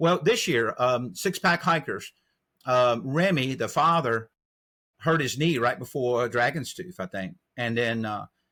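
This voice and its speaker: On a very clean recording with a silent background, a man with a North Carolina accent speaks in a bright, sharp tone with lively intonation. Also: medium pitch for a man, fairly slow pace. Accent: US Southern (North Carolina). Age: 60s. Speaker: trail angel. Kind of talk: interview.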